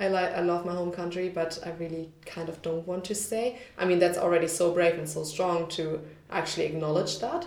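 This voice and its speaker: Amid noticeable background noise, a woman with a fairly low pitch and a German accent talks at a fairly quick pace with fairly even intonation. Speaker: podcast host. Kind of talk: casual chat.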